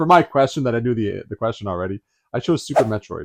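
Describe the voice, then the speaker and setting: A man talks at a very fast pace with very wide pitch swings. The sound is dry and close with no echo, and the background is quiet. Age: 60s. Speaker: retro game store co-owner. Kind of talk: casual chat.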